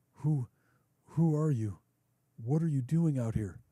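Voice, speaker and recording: In a put-on character voice, a man speaks fairly slowly at a fairly high pitch with very even loudness. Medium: read story.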